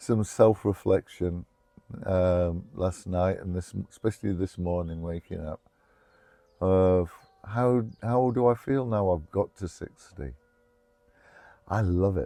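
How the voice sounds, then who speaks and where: With an English accent, a man speaks at a very slow pace with long, frequent pauses. His pitch is very deep and low, with ordinary variation and a dark, mellow tone. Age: 60s. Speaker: trauma recovery storyteller. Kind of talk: personal testimony interview. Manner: halting, many fillers.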